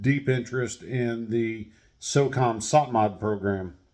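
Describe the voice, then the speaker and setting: With an American accent, a man of medium pitch speaks at a fairly slow pace in a very clean recording with a silent background. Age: 50s. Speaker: retired army veteran and firearms channel creator. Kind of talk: casual monologue introduction. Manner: halting with filler words.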